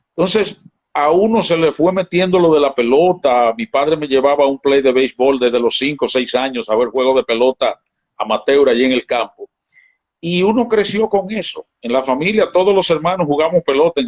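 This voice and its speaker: This man talks at a fairly quick clip with lively intonation and a fairly high pitch, in a plain, everyday voice. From Dominican Republic, San Francisco de Macorís countryside. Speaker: baseball broadcaster. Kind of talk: casual interview.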